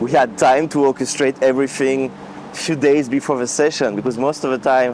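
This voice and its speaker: In a strong French accent, a man talks at medium pitch and a moderate pace over noticeable background noise. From France. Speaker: vlogger and music orchestrator. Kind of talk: casual vlog. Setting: outdoors walking in rain. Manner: halting with many fillers.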